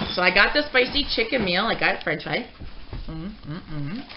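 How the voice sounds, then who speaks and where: A woman talks at a moderate pace while noticeable noise sits in the background. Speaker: mukbang vlogger. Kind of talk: casual vlog chat. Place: kitchen.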